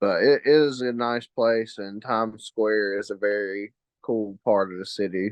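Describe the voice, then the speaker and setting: With a Southern accent, a man speaks at a fairly low pitch and with fairly even intonation. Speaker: guest, longtime basketball fan. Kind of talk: casual chat.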